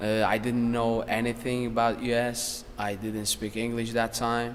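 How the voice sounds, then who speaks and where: Through noticeable background noise, a man talks at a moderate pace in a medium-pitched, monotone, flat voice. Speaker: professional MMA fighter. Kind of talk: casual interview.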